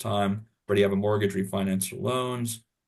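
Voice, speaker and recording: Flat, monotone delivery from a man with a fairly low voice and an American accent. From California. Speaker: webinar host. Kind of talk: webinar hosting.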